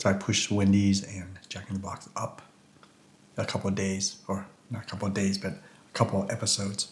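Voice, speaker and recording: A man's fairly low, mumbling voice, fairly quick yet broken by long, frequent pauses, monotone and flat. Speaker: food reviewer. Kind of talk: casual food review vlog. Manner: casual, halting.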